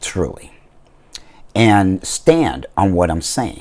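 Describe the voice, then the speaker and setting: Using a very deep, low pitch with vocal fry, a man lets his pitch swing very widely. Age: 60s. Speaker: vlogger. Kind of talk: casual vlog monologue.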